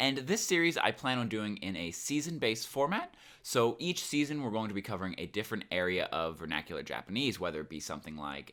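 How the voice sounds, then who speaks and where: A man with a fairly low pitch and a bright, sharp tone talks at a fairly quick pace with very wide pitch swings. The recording is very clean, with a silent background. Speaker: Japanese language teacher. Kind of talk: language lesson talk to camera. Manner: casual.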